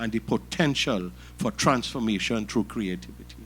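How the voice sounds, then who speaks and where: A man talks with vocal fry. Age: 60s. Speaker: art collector and businessman. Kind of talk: speech. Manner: formal.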